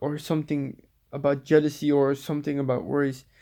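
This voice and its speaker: A man speaks in a Dutch accent. The recording is very clean, with a silent background. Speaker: spiritual vlogger. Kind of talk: casual monologue. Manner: halting, many repetitions and fillers.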